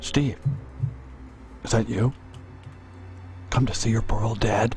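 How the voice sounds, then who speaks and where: A man's quiet, strained, put-on character voice at medium pitch, with ordinary pitch variation, a moderate pace and clear background noise. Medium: video game. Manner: hushed, confiding.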